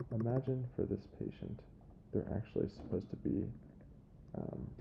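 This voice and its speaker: A man talks quietly with vocal fry and ordinary pitch variation. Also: medium pitch for a man, moderate pace. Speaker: software trainer. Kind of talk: tutorial.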